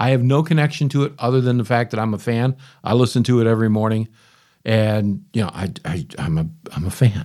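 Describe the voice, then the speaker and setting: The tone is dark and mellow, with ordinary pitch variation at a fairly quick pace. The recording is very clean, with a silent background. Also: man. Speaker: podcast host. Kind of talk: casual monologue. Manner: rambling, conversational.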